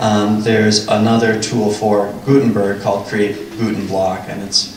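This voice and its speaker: A fairly low male voice amid audible room echo and noticeable background noise. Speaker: software developer giving a conference talk. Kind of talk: conference presentation. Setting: conference stage with audience. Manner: fast.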